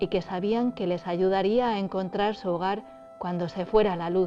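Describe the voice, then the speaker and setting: A woman talks at a medium pitch and a fairly slow pace, with ordinary pitch variation. Music plays in the background. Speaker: storyteller. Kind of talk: story narration.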